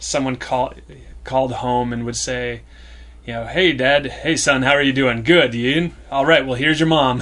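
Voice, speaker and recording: Bright and sharp in tone, this man's voice sits at a medium pitch with fairly even intonation. He keeps a moderate pace. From rural small farming town. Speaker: sketch comedian. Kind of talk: casual chat.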